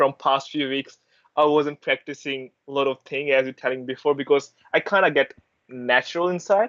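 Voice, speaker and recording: A man with an Indian accent talks at a fairly quick pace with ordinary pitch variation, in a dry, close sound with no echo. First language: Hindi. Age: 20s. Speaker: university student and intern. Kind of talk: interview answer.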